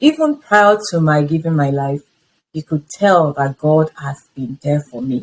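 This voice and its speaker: A Nigerian-accented woman with a very deep, low pitch, a fairly slow pace and ordinary pitch variation, in a dry, close sound with no echo. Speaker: interviewee sharing life story. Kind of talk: testimony.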